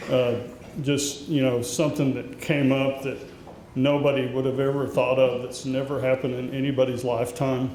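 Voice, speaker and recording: The speech moves at a moderate pace in a monotone, flat intonation, with noticeable background noise and audible room echo. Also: man, medium pitch for a man. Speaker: association president. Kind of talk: event welcome speech. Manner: loud.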